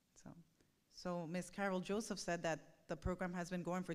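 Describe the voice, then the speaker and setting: Speaking in a Spanish accent, a woman keeps a moderate pace, fairly low pitch and fairly even intonation. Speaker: parent speaking at a school board meeting. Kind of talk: public comment at a board meeting. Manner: halting, with many fillers.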